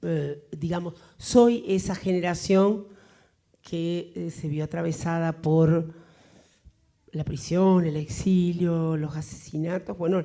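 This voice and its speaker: Amid audible room echo, a woman with a fairly low pitch and a dark, mellow tone speaks at a very slow pace, taking long, frequent pauses with ordinary pitch variation. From Argentina. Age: 60s. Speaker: writer. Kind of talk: Q&A after a lecture. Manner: hesitant, many fillers.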